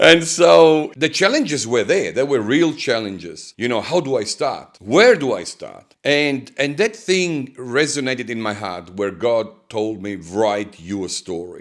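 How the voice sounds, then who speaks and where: A man's medium-pitched voice in an Italian accent, fairly slow, with very wide pitch swings, over a very clean, silent background. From Italy. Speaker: pastor and author. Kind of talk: interview.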